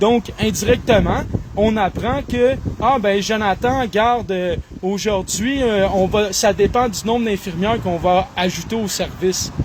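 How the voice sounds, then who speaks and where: Against noticeable background noise, a man with a high pitch talks at a fairly slow pace. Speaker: online commentator. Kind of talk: solo monologue reading and commenting news articles. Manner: animated.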